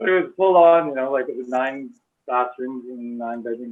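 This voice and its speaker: Speaking with a Western Canadian accent, a man uses a medium pitch, a moderate pace and ordinary pitch variation. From Canada, North Delta/Surrey, British Columbia. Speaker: early member of a meditation community. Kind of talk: casual reminiscence on video call.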